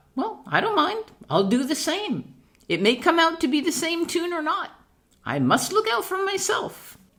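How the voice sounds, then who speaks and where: A woman performs a put-on character voice, squeaky and at an extremely high pitch. Her pitch swings very widely at a moderate pace. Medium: read story.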